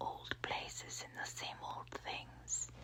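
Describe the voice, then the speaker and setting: There is noticeable background noise as the speaker whispers. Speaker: ASMR audiobook reader. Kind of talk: ASMR audiobook reading, soft whispering. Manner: soft whispered, relaxing.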